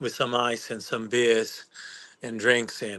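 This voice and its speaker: A man with a Dutch accent, medium-pitched, at a moderate pace against a quiet background. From Netherlands, Amsterdam. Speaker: home bar owner. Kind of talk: casual chat.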